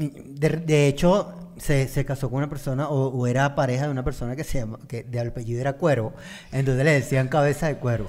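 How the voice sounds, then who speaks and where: At a fairly quick pace, a man with an unremarkable speaking voice talks in a fairly high pitch with fairly even intonation. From Venezuela. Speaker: podcast co-host. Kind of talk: casual chat. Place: studio. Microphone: studio mic.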